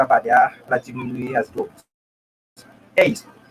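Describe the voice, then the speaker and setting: In a Haitian accent, a man speaks at a moderate pace with lively intonation, the sound dry and close with no echo. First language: Haitian Creole or French (speaking Portuguese). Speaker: humanitarian volunteer. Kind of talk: testimony.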